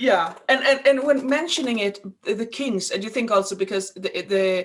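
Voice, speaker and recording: With a Swedish accent, a woman talks at a moderate pace in a fairly high pitch with lively intonation. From Sweden. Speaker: podcast host. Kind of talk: casual chat. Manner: halting.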